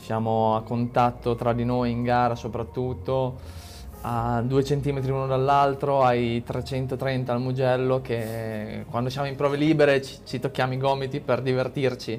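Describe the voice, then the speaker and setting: With music in the background, a man speaks at a medium pitch and a fairly slow pace. His intonation is fairly even. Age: 20s. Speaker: motorcycle racer. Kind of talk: casual chat.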